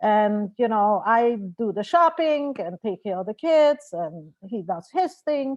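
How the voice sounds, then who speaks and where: A woman speaks at a fairly high pitch with very wide pitch swings. Her pace is fairly slow, and the sound is dry and close with no echo. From Austria, Vienna. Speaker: marriage and family therapist. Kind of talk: lecture.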